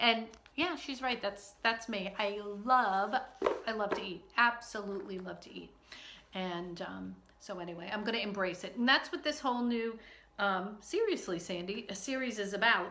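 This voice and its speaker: A woman with an American accent and a medium pitch speaks at a moderate pace with ordinary pitch variation. Her loudness swings a lot, and room echo is audible. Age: 60s. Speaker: online video host. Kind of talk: casual vlog. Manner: hesitant, many fillers.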